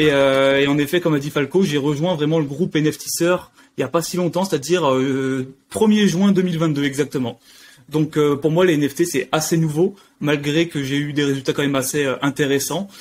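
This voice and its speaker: With fairly even intonation, a man of fairly high pitch talks at a fairly quick pace. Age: 20s. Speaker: NFT investor, course member. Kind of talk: interview. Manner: hesitant, many fillers.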